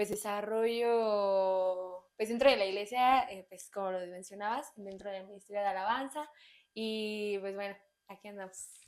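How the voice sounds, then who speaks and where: A woman speaks with a central Mexican accent at a medium pitch and fairly slow pace. Her intonation is fairly even, but her loudness swings widely. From Mexico, Estado de México (Naucalpan). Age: 20s. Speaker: church worship team member. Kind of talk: testimony. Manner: hesitant, many fillers.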